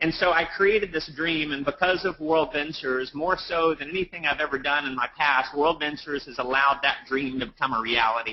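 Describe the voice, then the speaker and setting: A man's fairly high voice at a fairly quick pace, ordinary pitch variation, hardly any pauses. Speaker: network marketing leader and speaker. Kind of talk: motivational webinar talk. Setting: live webinar. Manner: fast; animated.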